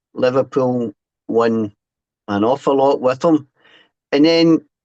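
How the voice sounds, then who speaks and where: A man with a Scottish accent, in a dry, close sound with no echo and a quiet background. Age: 60s. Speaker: author and former fanzine writer. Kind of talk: podcast interview. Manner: halting, with repeated false starts.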